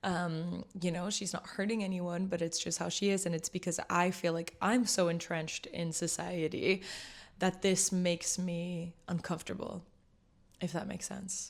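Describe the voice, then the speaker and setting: A woman with a fairly low pitch talks at a moderate pace in a monotone, flat intonation. The recording is very clean, with a silent background. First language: French. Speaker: vlogger. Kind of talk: casual vlog chat. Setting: sitting at home with tea.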